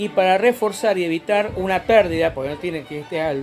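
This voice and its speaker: A man's high voice at a moderate pace, ordinary pitch variation, music playing behind him. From Rosario, Argentina. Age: 40s. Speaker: amateur meteorologist. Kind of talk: DIY science tutorial. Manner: casual, explanatory.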